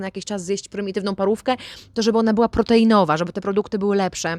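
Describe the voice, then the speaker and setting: A woman at a very fast pace with fairly even intonation, on a very clean recording with a silent background. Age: 30s. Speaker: vlogger. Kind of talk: casual vlog monologue.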